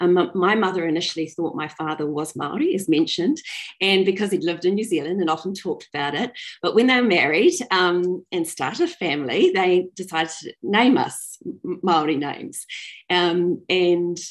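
In a quiet background, a woman with a fairly low pitch speaks at a moderate pace with ordinary pitch variation. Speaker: storyteller. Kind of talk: personal storytelling talk. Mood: warm, smiling. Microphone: video call.

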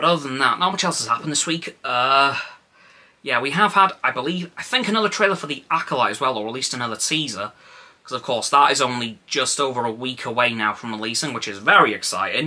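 The speech moves at a very fast pace. Its intonation is lively. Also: man. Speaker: vlogger. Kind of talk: casual vlog chat. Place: home room. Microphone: phone near.

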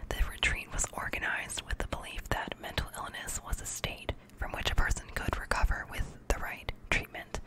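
A soft-spoken woman whispers at a moderate pace with hardly any pauses over loud background noise. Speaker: reader. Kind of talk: reading a textbook aloud with brief asides. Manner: soft whispered reading close to mic. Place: home room. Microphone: studio mic.

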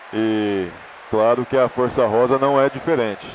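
A man's medium-pitched voice with ordinary pitch variation over noticeable background noise. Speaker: futsal color commentator. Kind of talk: live sports commentary.

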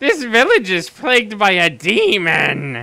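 A put-on character voice at a fairly high pitch. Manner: comedic impression.

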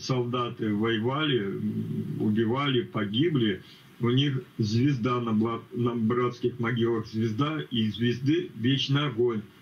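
Speech comes very slowly. Intonation barely shifts, staying fairly even. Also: man. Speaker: teacher. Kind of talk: group Bible study discussion. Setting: video call. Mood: insistent, admonishing. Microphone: video call.

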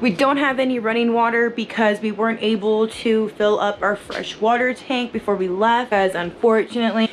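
A woman talks at a moderate pace with fairly even intonation and hardly any pauses, over light background noise. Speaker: travel vlogger. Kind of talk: casual vlog chat. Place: home room. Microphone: phone near.

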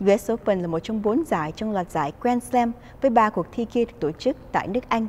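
An ordinary speaking voice, fairly quick with hardly any pauses and lively intonation. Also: woman. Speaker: news anchor. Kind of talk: news reading. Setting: studio. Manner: formal.

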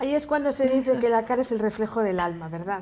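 A woman's high-pitched voice. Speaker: makeup artist; TV guest. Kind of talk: casual chat. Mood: relaxed, cheerful, smiling. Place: studio. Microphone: lapel.

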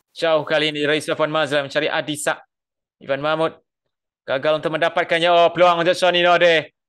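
In a Malaysian accent, a man uses a raised, projected voice with a bright, sharp tone on a very clean recording with a silent background. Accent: Malaysian Malay. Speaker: football commentator. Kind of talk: live sports commentary. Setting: stadium commentary broadcast. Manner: builds excitement on chances and goals.

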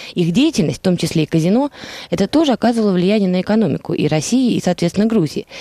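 A woman's lively intonation comes through in a dry sound with no echo. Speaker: radio guest, analyst. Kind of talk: radio interview. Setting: studio. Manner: formal. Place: studio. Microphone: headset.

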